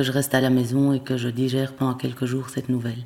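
Very deep and low, a woman's dark, mellow voice moves at a fairly quick pace in a flat monotone over a silent background in a very clean recording. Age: 40s. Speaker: primary school teacher with Parkinson's disease. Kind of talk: testimony. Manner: halting, frequent hesitations and repetitions.

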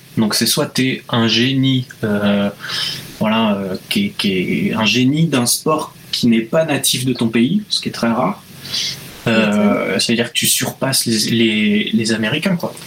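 A man at a medium pitch, speaking at a very slow pace with ordinary pitch variation, over noticeable background noise. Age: 20s. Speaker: illustrator. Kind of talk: casual interview.

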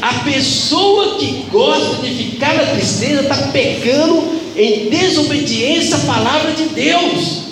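With noticeable background noise behind him, a man speaks at an extremely high pitch and a very slow pace, using lively intonation and hardly any pauses. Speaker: preacher. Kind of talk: sermon. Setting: church. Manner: earnest, admonishing, emphatic; rhetorical questions, repeats for emphasis.

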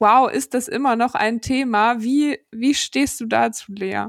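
A woman with fairly high pitch speaks at a fairly slow pace, with ordinary pitch variation. The recording is very clean, with a silent background and a dry, close sound with no echo. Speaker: podcast co-host. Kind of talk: casual interview chat.

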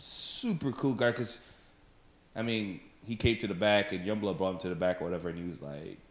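With an ordinary speaking voice, this man uses lively intonation at a fairly low pitch. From Africa, raised in Texas. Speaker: stand-up comedian. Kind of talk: casual chat. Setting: at host's house.

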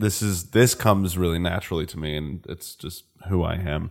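In a very clean recording with a silent background, a man with an American accent speaks. His voice is very deep and low, with fairly even intonation. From Northern California (Napa Valley), born New Jersey. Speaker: filmmaker, cinematographer. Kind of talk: casual chat. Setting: host's house.

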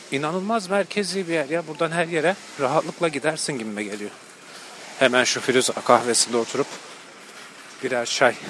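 A man talks at a fairly quick pace in a fairly high voice with lively intonation, leaving long, frequent pauses. Noticeable background noise runs under his speech. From Turkey, outside Istanbul. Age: 30s. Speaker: podcast host. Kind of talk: walking monologue vlog-style. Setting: outdoors and on public transport.

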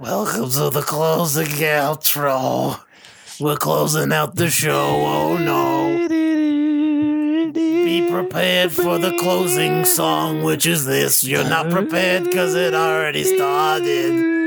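A put-on character voice at a fairly slow pace over loud music in the background. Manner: creepy.

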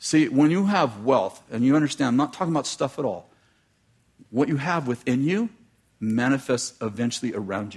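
A man's normal speaking voice, medium-pitched and fairly quick, with lively intonation on a very clean recording against a silent background. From United States. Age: 60s. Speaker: preacher. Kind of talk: sermon.

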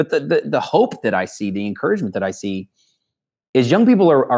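A man with a normal speaking voice, lively intonation and a fairly quick pace, against a quiet background. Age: 30s. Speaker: leadership trainer and company co-founder. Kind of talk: interview.

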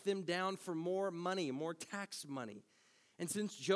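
A passage read aloud in a natural voice

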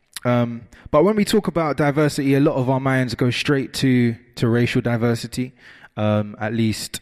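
On a very clean recording with a silent background, a man with a normal speaking voice talks at a moderate pace, medium in pitch and with ordinary pitch variation. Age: 20s. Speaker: youth worker. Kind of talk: talk at a conference.

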